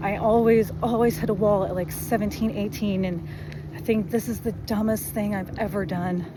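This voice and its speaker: Someone soft-spoken talks at a moderate pace with fairly even intonation, with audible room echo and noticeable background noise. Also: woman, medium pitch for a woman. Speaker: amateur runner vlogger. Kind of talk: casual vlog monologue. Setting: outdoors running by road.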